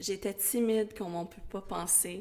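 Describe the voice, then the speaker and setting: The speech moves at a fairly slow pace with noticeable background noise behind it. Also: woman. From Quebec, West Island of Montreal (Pointe-Claire). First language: English (speaking French). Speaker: school educator. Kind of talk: interview.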